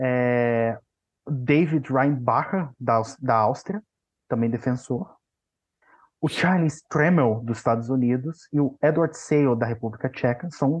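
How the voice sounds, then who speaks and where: A man talks fairly slowly in an ordinary speaking voice. His pitch is medium, with ordinary pitch variation. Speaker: backup hockey podcaster. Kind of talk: casual chat.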